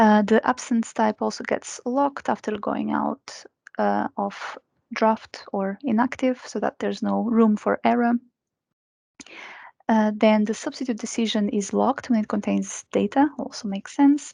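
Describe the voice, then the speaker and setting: A woman talks at a moderate pace, recorded with a dry, close sound and no echo. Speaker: software trainer. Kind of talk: webinar training.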